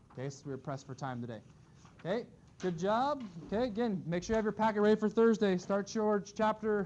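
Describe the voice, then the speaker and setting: At a fairly quick pace, a man talks with high pitch and lively intonation. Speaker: math teacher. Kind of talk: classroom lecture. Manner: fast.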